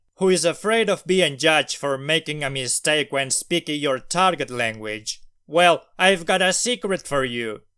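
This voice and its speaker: In a very clean recording with a silent background, a man speaks at a moderate pace with a non-native accent. His pitch is fairly high and his intonation lively. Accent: non-native accent, self-described. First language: not English. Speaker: language learner vlogger. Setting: recorded at night.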